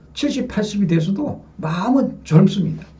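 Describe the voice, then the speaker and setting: Set against audible room echo, this voice has a dark, mellow tone and ordinary pitch variation. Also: man. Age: 60s. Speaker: religious lecturer. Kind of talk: sermon. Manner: addresses audience with rhetorical questions.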